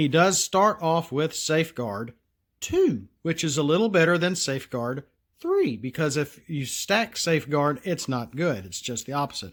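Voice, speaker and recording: Heard in a very clean recording against a silent background, the speaker has a Southern US accent. The pace is moderate and the intonation lively. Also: man, fairly high pitch for a man. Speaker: card game designer, solo channel host. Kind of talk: casual tutorial / card review.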